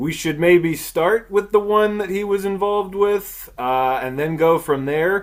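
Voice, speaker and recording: A man speaks loudly and fairly slowly in a high voice, with ordinary pitch variation. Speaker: podcast host. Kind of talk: casual chat. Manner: projects loudly; animated.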